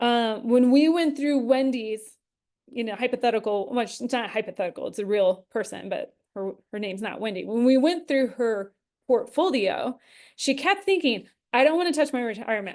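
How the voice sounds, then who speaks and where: A woman with a high pitch and lively intonation at a fairly quick pace, over a quiet background. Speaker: investment educator and show host. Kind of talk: live webinar Q&A. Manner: casual with many fillers.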